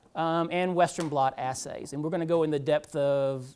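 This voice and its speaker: The speaker has a slight Georgia accent. The pace is moderate. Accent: slight Southern US (Georgia). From US South, Georgia. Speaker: medical technologist, lecturer. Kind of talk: lecture. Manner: casual, many fillers (um).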